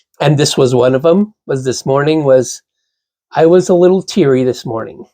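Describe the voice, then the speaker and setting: Dark, mellow tone from a man with a fairly high pitch, ordinary pitch variation and a moderate pace. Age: 60s. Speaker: podcast host's father. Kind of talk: casual chat. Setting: cold backyard hut studio.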